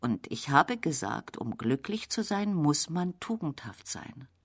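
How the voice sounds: Putting on a character voice, a woman talks fairly slowly at a low pitch with a slightly husky edge and big pitch swings, in a very clean recording with a silent background.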